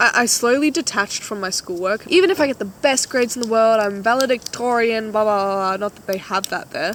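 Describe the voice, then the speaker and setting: A woman with an Australian accent talks at a fairly quick pace with hardly any pauses, her fairly high pitch showing ordinary variation and her loudness swinging widely. The recording is very clean, with a silent background. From Australia, Queensland. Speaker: vlogger. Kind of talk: casual chat. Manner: animated.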